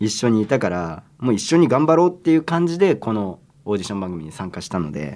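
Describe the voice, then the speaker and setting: A man at a fairly low pitch and a very fast pace, with very wide pitch swings and big swings in loudness. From Tokyo, Japan. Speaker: member of a boy group, podcast co-host. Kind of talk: casual chat.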